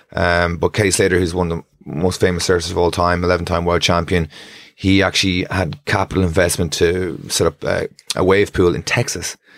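Fairly quick, monotone, flat speech from a man with a northwest Irish accent and a very deep, low pitch. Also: very clean recording, silent background. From Ireland, Strandhill, County Sligo. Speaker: surf coach and professional bodyboarder. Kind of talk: casual chat.

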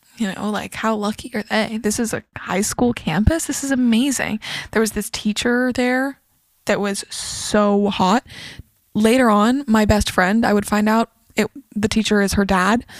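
On a very clean recording with a silent background, a woman speaks at a fairly slow pace. Her fairly high voice has fairly even intonation, with a dry, close sound and no echo. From Northern California. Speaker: neuropsychology student. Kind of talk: casual chat. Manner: confident.

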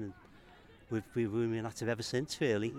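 A man with a Liverpool accent and a medium pitch. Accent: Scouse. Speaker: football club secretary. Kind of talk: interview. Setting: football ground.

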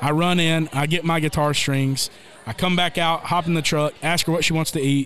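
A man with a Southern US accent and a fairly high pitch speaks over noticeable background noise. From Tennessee. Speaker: country singer. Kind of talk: storytelling.

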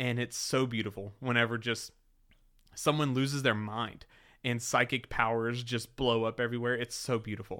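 A man with a slight Southern US accent speaks at a moderate pace and medium pitch in an animated, bright, sharp tone. The recording is very clean, with a silent background. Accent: slight Southern twang. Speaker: podcast co-host. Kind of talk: casual chat.

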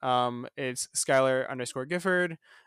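Man with ordinary pitch variation, dry, close sound with no echo, very clean recording and silent background. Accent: American. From Florida, US. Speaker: theme park podcaster. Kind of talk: casual interview chat.

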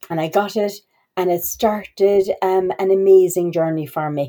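This woman has an Irish accent and a fairly low pitch. Her tone is dark and mellow, with fairly even intonation. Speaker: university international office staff. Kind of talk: podcast interview. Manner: halting, many fillers.

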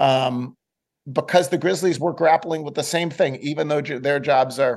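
Using an unremarkable speaking voice, a man talks at a moderate pace with a fairly high pitch. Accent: American. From US, Buffalo, New York. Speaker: sports columnist. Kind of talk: interview.

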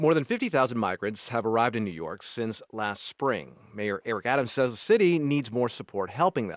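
This man has a medium pitch and very wide pitch swings. The sound is dry and close with no echo, on a very clean recording with a silent background. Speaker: radio news host. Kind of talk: interview.

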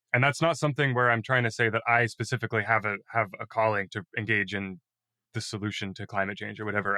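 A man with a fairly low voice talks very fast in a bright, sharp tone, his intonation fairly even, on a very clean recording with a silent background and a dry, close sound with no echo. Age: 20s. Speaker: former youth climate activist. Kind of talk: interview.

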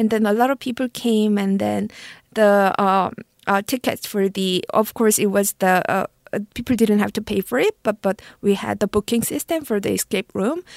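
Recorded very cleanly with a silent background, a woman speaks with a Korean accent in a dry, close sound that has no echo. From South Korea. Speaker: marketing executive. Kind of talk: interview. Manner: halting.

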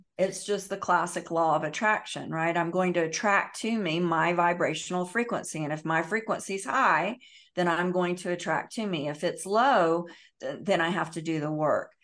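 Against a quiet background, a woman speaks at a moderate pace in an unremarkable speaking voice, fairly low in pitch with ordinary pitch variation. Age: 50s. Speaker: emotional healing educator and meditation teacher. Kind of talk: podcast interview.

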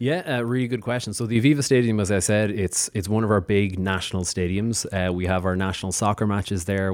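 A man with an Irish accent, fairly low pitch, fairly even intonation and a very fast pace. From Ireland. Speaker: diplomat. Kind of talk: interview.

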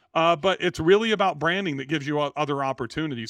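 A man with an American accent, a plain, everyday voice, speaks fairly quickly at a fairly high pitch with ordinary pitch variation, the sound dry and close with no echo and the background quiet. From California, Central Valley (Bakersfield). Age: 50s. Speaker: real estate entrepreneur. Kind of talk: podcast interview.

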